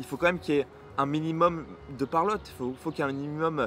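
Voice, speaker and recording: A man talking at a very fast pace. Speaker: booktuber. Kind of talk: casual vlog monologue. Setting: outdoors in the sun. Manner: fast, mumbles words at times.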